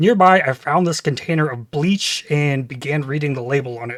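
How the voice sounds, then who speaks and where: A man with a plain, everyday voice and an American accent, fairly high in pitch with ordinary pitch variation, in a dry, close sound with no echo. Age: 30s. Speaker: gaming YouTuber. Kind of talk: scripted channel introduction.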